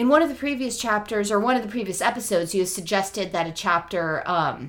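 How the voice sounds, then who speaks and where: With a plain, everyday voice, a woman at medium pitch talks at a fairly quick pace with lively intonation and hardly any pauses. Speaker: podcast co-host. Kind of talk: casual chat.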